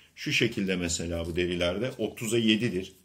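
A man speaks at a very slow pace with ordinary pitch variation. His pitch is fairly low. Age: 50s. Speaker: leather craftsman. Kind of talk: product demonstration. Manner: halting. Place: home room. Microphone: phone near.

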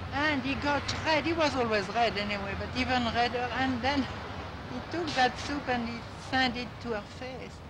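Noticeable background noise is present. Over it, a woman talks at a moderate pace. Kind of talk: interview answer. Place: street.

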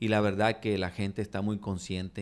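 A man's voice, fairly low in pitch. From Mexico, Nuevo Laredo (Tamaulipas); Tamaulipas, Mexico. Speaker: political candidate; candidate. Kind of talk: interview. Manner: halting, many repetitions. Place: studio. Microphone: studio mic.

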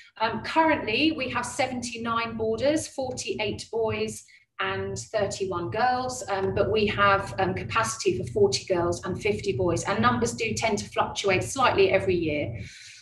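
A woman at a fairly slow pace with hardly any pauses, with audible room echo and light background noise. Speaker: head of boarding at a school. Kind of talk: webinar presentation. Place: classroom. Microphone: webcam.

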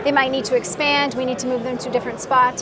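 Over clear background noise, a woman speaks fast at a high pitch with little pitch movement.

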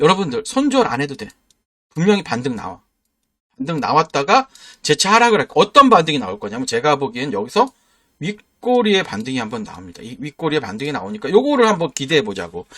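Very fast and animated, a man's fairly high voice sounds bright and sharp, with vocal fry and very wide pitch swings. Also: big swings in loudness, dry, close sound with no echo. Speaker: stock market YouTuber. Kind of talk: sales pitch. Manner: forceful intonation.

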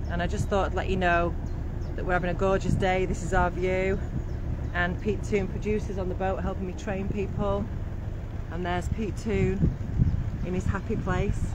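The sound is dry, with no echo, over loud background noise. Long pauses come often. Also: moderate pace. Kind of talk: casual vlog chat. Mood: cheerful, relaxed. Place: boat. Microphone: phone near.

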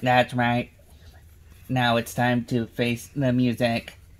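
A put-on, robotic character voice from a man, medium in pitch, monotone and flat, at a fairly slow pace

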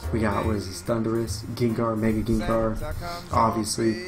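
A man's voice over clear background music. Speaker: gamer streamer. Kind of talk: casual gameplay commentary. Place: home room. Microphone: webcam.

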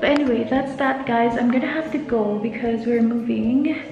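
Faint music plays behind a woman whose high voice holds fairly even intonation. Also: moderate pace. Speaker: vlogger. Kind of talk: casual vlog chat. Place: empty room. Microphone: phone near.

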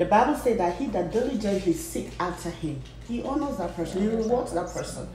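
A woman talks at a fairly quick pace with lively intonation. Audible room echo and light background noise come through. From Nigeria. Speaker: pastor. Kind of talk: casual chat. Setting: at her home. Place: kitchen.

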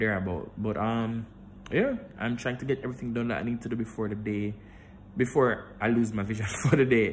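Over light background noise, a man speaks at a fairly quick pace with a Jamaican accent and fairly even intonation. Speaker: vlogger. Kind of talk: casual vlog. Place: home room. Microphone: phone near.

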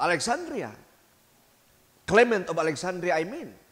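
This man's voice sits high. His tone is animated. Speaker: priest. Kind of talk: homily at a midweek church service, Bisaya-English mix, scripture reading then teaching. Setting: church with congregation. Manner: earnest, exhortative, directly addressing the congregation. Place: church. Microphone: handheld.

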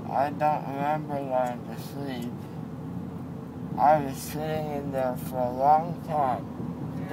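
Loud background noise runs under speech at a very slow pace. The pauses are long and frequent. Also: man. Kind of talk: casual chat answering questions. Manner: groggy, slurred anesthesia-drugged speech. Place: car. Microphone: phone near.

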